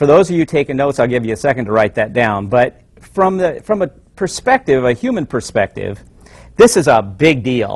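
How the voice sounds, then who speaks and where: At a fairly quick pace, a man speaks with very wide pitch swings in a dry, close sound with no echo. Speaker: family counselor. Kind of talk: lecture. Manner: fast.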